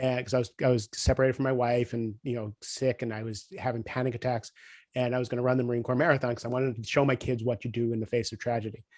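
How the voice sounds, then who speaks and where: The man talks very fast in a flat, monotone way at a medium pitch. The sound is dry and close, without echo. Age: 50s. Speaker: podcast host and coach. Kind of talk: interview conversation.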